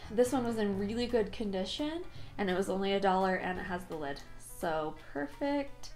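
Faint music plays behind a woman who speaks at a fairly quick pace. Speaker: thrift haul vlogger. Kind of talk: casual vlog chat. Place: home room. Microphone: phone near.

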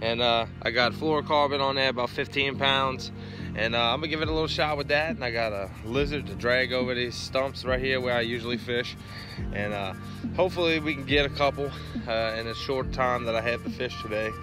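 A man at a fairly quick pace with ordinary pitch variation, dry sound with no echo, and clear music in the background. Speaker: angler vlogger. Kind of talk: casual vlog chat. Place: waterside. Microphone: phone near.

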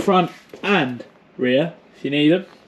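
Loud background noise fills the clip. Over it, a man talks at a fairly slow pace. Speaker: e-bike vlogger. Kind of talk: casual vlog chat. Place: home room. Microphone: phone near.

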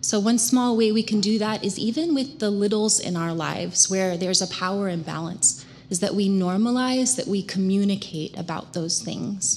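With light background noise behind her, a woman talks at a moderate pace with hardly any pauses. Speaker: prevention educator. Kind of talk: community presentation. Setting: church with congregation. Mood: earnest, warm. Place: church. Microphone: podium.

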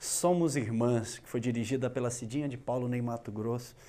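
In an ordinary speaking voice, a man talks at a moderate pace and medium pitch, his intonation fairly even. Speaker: TV interviewer. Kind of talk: interview. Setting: studio. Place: studio. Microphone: lapel.

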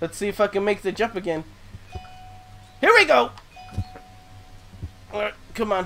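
Over music in the background, a man with a high pitch uses a raised, projected voice and ordinary pitch variation. He leaves long, frequent pauses. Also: moderate pace. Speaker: YouTube gamer. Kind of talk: let's play gameplay commentary. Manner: excitable, loud, joking.

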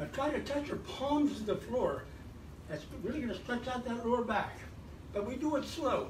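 Noticeable background noise runs through the clip. A man talks at a moderate pace. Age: 80s. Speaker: fitness instructor. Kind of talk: exercise class instruction. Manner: animated; encouraging. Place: home room. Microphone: camera far.

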